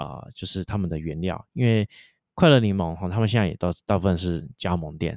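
In a very clean recording with a silent background, a man with a Taiwanese accent and a very deep, low voice talks at a fairly quick pace with lively intonation, the sound dry and close with no echo. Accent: Taiwanese Mandarin. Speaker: investment podcast host. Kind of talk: solo commentary on a company. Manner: many fillers, hesitant.

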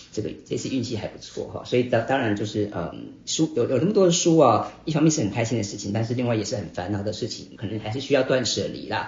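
A man with a Taiwanese accent talks at a very fast pace with hardly any pauses. His pitch is medium. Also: ordinary pitch variation. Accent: Taiwanese Mandarin. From Taiwan (Hsinchu, raised in Taipei). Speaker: book club host and author. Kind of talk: casual talk to a live audience. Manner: frequent filler particles.

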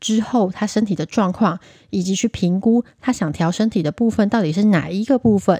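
A woman with a Taiwanese accent and a somewhat breathy voice speaks at a moderate pace and medium pitch with ordinary pitch variation, in a dry, close sound with no echo and a quiet background. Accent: Taiwanese Mandarin. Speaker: podcast host, Chinese medicine doctor. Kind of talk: casual solo podcast talk.

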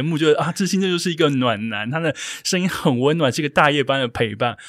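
In an animated tone, this man keeps up a fairly quick pace. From southern Taiwan, Kaohsiung. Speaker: podcast host. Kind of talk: casual interview chat. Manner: animated, laughs often.

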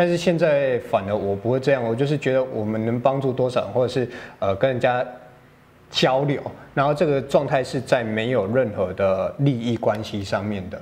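At a moderate pace and medium pitch, a man with a Taiwanese accent speaks with ordinary pitch variation. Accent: Taiwanese Mandarin. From Taiwan, Tainan. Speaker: fitness coach. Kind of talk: casual interview. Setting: fitness studio.

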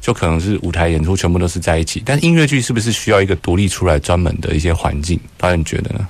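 Very deep and low, this man's somewhat breathy voice shows ordinary pitch variation. His pace is very fast. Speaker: radio co-host. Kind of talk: radio interview. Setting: studio.

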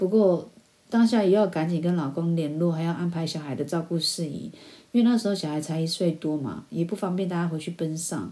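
A woman's fairly low pitch with ordinary pitch variation at a moderate pace. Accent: Taiwanese. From Taiwan. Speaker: podcast host. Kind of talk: casual monologue.

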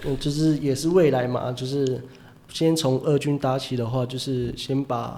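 Speaking at a medium pitch, a man moves at a fairly slow pace with fairly even intonation. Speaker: professional baseball player. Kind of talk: casual interview chat.

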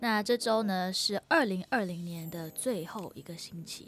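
With a normal speaking voice, this woman talks at a moderate pace, her medium pitch showing ordinary pitch variation. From Singapore. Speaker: podcast host and singer-songwriter. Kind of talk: casual solo podcast, travel talk.

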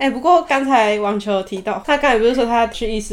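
With an animated tone and a Taiwanese accent, a woman talks at a very fast pace with ordinary pitch variation. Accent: Taiwanese Mandarin. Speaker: podcast host. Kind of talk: casual chat. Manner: animated, laughing.

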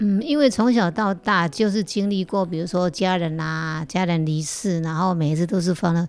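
A woman speaks at a moderate pace with hardly any pauses and ordinary pitch variation. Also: fairly low pitch for a woman. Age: 60s. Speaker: cancer patient and retired yoga teacher. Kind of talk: casual chat. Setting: at home.

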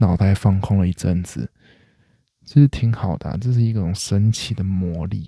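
A man with a Taiwanese accent, very deep and low in pitch, his dark, mellow tone somewhat breathy, with ordinary pitch variation and a dry, close sound with no echo. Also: moderate pace. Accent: Taiwanese Mandarin. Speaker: comedy podcast host. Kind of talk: casual solo monologue.

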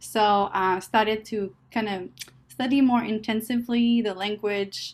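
A woman with a French Canadian accent, fairly high in pitch and fairly slow in pace. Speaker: guest, Chinese learner and sociologist. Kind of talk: interview, casual conversation. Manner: laid-back, hesitant, often laughing.

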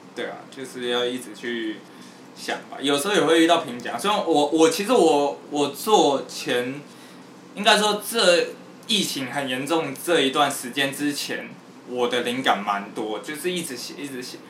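A man talks at a fairly slow pace in a fairly high pitch for a man, with big swings in loudness. Audible room echo and noticeable background noise surround him. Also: lively intonation. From Taiwan, Taipei. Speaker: rapper. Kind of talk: casual chat.

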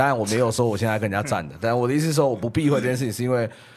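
A man speaks with ordinary pitch variation. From Taiwan, Kaohsiung. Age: 20s. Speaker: music producer. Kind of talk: casual chat.

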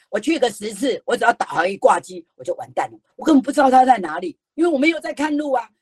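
A woman's voice in a Taiwanese accent with very wide pitch swings, dry and close with no echo. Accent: Taiwanese Mandarin, some Taiwanese Hokkien. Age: 60s. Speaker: author and children's storyteller, education association founder. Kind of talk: online book talk. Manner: animated.

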